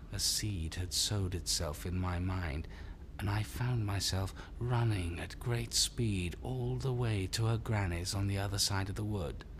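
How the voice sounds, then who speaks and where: A man's put-on character voice, fairly low in pitch, at a moderate pace over loud background noise. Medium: short film. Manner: quiet, measured.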